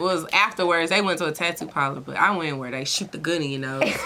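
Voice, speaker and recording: A woman with an American accent talks at a fairly quick pace with hardly any pauses and a fairly low pitch. Her loudness swings widely, and background noise is noticeable. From Houston, Texas (family roots in California). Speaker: rapper. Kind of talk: interview. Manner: casual, slangy.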